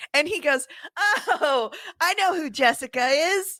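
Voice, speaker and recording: An animated woman is heard in a very clean recording with a silent background. The sound is dry and close, with no echo. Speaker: podcast co-host. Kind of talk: casual chat.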